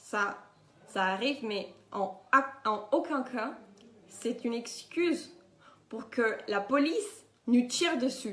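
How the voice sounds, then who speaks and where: Speaking in a Spanish accent, a woman uses a high pitch with ordinary pitch variation. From Colombia. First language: Spanish (speaking French). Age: 20s. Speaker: activist. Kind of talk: testimony.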